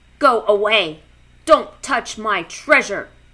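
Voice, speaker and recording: This is a put-on character voice that sounds female, growling at a fairly high pitch. The pace is fairly slow. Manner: growling, grumpy.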